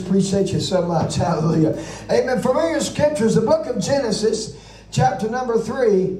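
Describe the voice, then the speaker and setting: A man's high-pitched, animated voice at a moderate pace, with noticeable background noise. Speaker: preacher. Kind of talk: sermon. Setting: church service with congregation. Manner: animated, punctuated with amens and hallelujahs.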